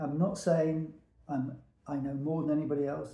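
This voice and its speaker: There is audible room echo as a man with a fairly high pitch speaks at a moderate pace. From England, Peterborough. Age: 70s. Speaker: veteran hairdresser. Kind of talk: casual monologue to camera.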